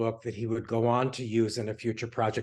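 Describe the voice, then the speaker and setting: A man talks at a fairly quick pace in a medium pitch. The background is quiet. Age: 60s. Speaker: interior design author. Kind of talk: interview. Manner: halting, many fillers.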